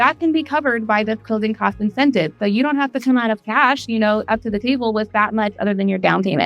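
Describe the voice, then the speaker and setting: Over background music, a woman talks at a very fast pace in an upbeat tone, her fairly high voice showing ordinary pitch variation. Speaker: real estate agent. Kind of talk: casual talk to camera. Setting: outdoors.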